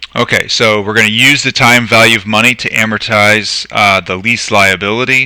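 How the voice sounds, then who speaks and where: A man talks with a fairly low pitch and fairly even intonation. He barely pauses at all. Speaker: accounting lecturer. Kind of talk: live lecture. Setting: live stream. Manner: fast.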